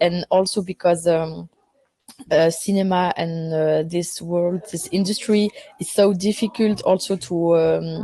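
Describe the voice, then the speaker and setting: Woman with a French accent, fairly low in pitch, at a fairly slow pace with fairly even intonation. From Belgium, Brussels. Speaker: film director. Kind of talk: interview. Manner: halting, many fillers.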